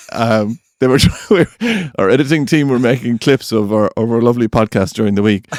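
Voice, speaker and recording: Speaking with an Irish accent at a medium pitch, a man keeps very even loudness and hardly any pauses, in a dry, close sound with no echo. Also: ordinary pitch variation, moderate pace. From Ireland. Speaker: podcast co-host. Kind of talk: casual chat.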